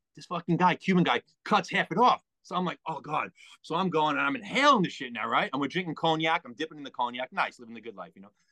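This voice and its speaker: A man with a New York accent talks very fast in a bright, sharp, fairly high voice with lively intonation. His loudness swings widely, and the sound is dry and close with no echo. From New York, Long Island (Merrick). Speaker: guest co-host, ex-wrestler and collector. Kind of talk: casual chat. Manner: low-energy.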